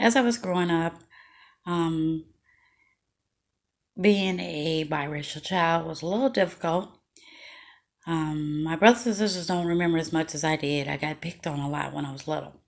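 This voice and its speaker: The speaker has an American accent and a moderate pace, with long, frequent pauses and ordinary pitch variation. The recording is very clean, with a silent background. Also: woman, fairly low pitch for a woman. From Chicago, Illinois, US Midwest. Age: 40s. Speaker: memoir storyteller. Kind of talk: personal storytelling video. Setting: at home, video recording. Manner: casual, hesitant with many fillers.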